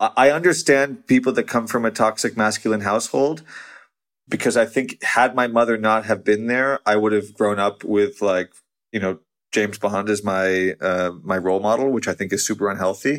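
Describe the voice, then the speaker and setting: At a moderate pace, a man with an American accent speaks at a fairly low pitch with ordinary pitch variation. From United States. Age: 30s. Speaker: magazine editor. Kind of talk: casual chat. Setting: video call. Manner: halting, frequent repetitions.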